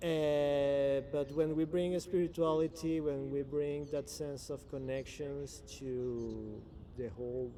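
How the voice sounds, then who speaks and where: A fairly high-pitched man speaks at a very slow pace with fairly even intonation. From Venezuela. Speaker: blockchain and spirituality guest. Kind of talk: interview. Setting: in person. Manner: halting.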